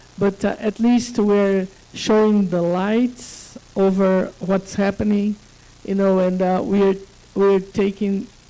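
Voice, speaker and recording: A woman's medium-pitched voice at a fairly slow pace, amid noticeable background noise. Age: 60s. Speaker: conference panelist. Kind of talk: panel discussion.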